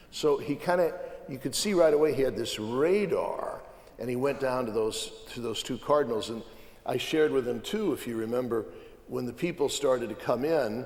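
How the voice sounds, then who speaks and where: Lively intonation marks a man's speech, heard over noticeable background noise. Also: medium pitch for a man, moderate pace. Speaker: cardinal. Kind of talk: panel conversation.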